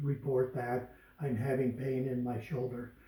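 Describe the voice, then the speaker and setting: A man talks in a room with audible echo, and noticeable noise runs in the background. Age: 70s. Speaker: customer giving testimonial. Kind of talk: testimony.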